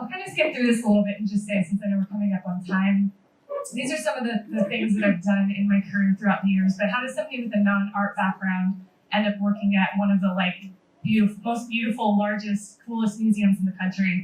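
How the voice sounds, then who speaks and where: A somewhat breathy voice with an American accent, very fast pace and fairly even intonation. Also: woman, medium pitch for a woman. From San Francisco Bay Area, US. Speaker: museum social media manager. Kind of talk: panel presentation.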